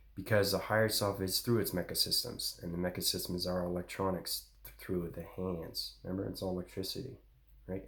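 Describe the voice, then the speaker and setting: Somewhat breathy, the voice moves at a fairly quick pace with monotone, flat intonation. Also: man. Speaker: spiritual channel host. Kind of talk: spiritual monologue. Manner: fast.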